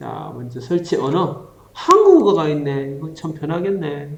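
A man speaks at a very slow pace. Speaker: teacher. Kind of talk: humorous tutorial skit in dialogue form. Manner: casual, playful.

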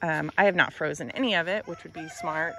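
A woman's normal speaking voice, fairly low-pitched, with ordinary pitch variation, light background noise and a dry sound with no echo. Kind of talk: casual vlog chat. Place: garden. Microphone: phone near.

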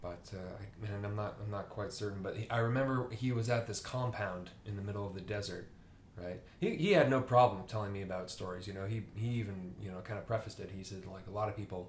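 A man speaks at a very fast pace with a fairly low pitch, somewhat breathy, and fairly even intonation. Light background noise and audible room echo can be heard. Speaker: book reviewer. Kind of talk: casual vlog chat. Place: home room.

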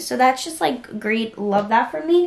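A woman with a fairly high pitch speaks amid audible room echo.

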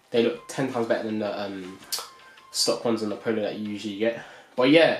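Someone talks very fast with ordinary pitch variation. The room echo is audible, and faint music plays behind. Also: man. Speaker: car vlogger. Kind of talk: casual product review vlog. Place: home room.

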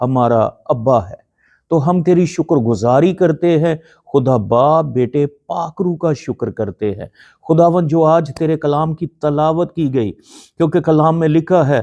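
This man's voice is fairly high, with a dark, mellow tone and ordinary pitch variation. The sound is dry and close, with no echo. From Pakistan, Lahore. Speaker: pastor. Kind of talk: prayer; sermon.

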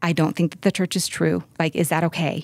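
In a dry recording with no echo and a quiet background, a woman speaks at a moderate pace. Her fairly low pitch stays monotone and flat. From US West (California). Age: 40s. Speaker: interview guest. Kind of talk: personal interview. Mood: candid, reflective. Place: studio. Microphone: studio mic.

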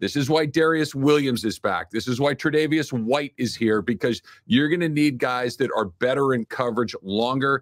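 A man with an unremarkable speaking voice and medium pitch talks at a moderate pace with hardly any pauses and ordinary pitch variation, the sound dry and close with no echo. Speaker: sports radio host. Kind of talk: casual sports talk.

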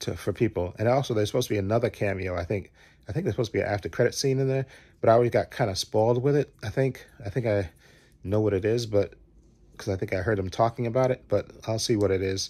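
A man talks at a very fast pace with a fairly low pitch. His voice is somewhat breathy, with ordinary pitch variation. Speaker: movie fan vlogger. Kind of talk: casual vlog chat. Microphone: phone near.

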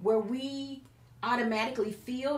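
A woman's voice carries audible room echo. Light background noise is present. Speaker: preacher / Bible teacher. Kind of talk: sermon-style Bible teaching in conversation. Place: studio.

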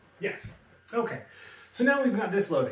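A man talks with audible room echo surrounding his voice. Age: 40s. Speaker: tech YouTuber. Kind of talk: product review; casual vlog chat. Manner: casual, halting with fillers. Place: home room.

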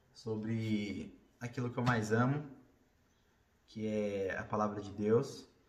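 A man's fairly low voice at a very slow pace, with long, frequent pauses, fairly even intonation and audible room echo. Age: 30s. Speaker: vlogger; bodybuilder. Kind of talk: casual talk to camera. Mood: earnest, reflective. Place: home room. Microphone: phone near.

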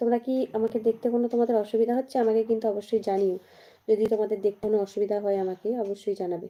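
Her intonation monotone and flat, a woman talks at a fairly high pitch. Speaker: YouTuber. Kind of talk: live stream chat with viewers.

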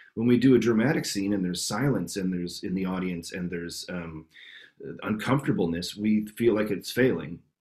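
Here a man with a Canadian accent talks at a fairly quick pace in a fairly low voice. His pitch varies in an ordinary way, and the background is quiet. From Canada, Winnipeg. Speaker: improv actor and teacher. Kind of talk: interview answer.

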